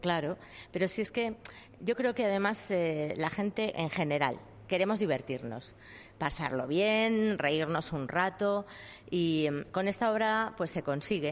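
A woman speaks in a plain, everyday voice of medium pitch, with very even loudness. Her pace is fairly slow and her intonation lively. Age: 50s. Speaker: actress. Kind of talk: interview.

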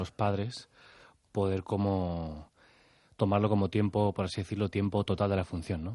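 A plain, everyday voice with fairly even intonation at a moderate pace, over a quiet background. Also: man. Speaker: theatre actor. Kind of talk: radio interview.

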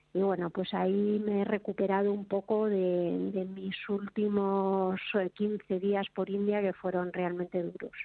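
A woman talks fairly slowly at a medium pitch. Her intonation stays monotone and flat. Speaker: motorcycle traveler. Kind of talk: casual chat.

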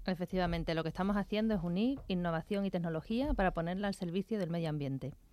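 In a very clean recording with a silent background, a woman with a dark, mellow tone talks at a very fast pace with ordinary pitch variation. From Seville, Andalusia. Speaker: environmental tech entrepreneur. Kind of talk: radio interview.

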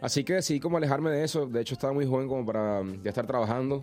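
Very fast speech with ordinary pitch variation. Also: man. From Venezuela. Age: 20s. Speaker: singer. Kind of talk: interview.

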